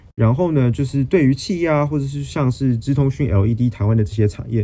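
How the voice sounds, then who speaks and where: A man with a Taiwanese accent, lively intonation and a fairly quick pace, over music in the background. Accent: Taiwanese Mandarin. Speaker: podcast host, finance news. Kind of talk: solo explainer monologue. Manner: self-correcting, with hesitations.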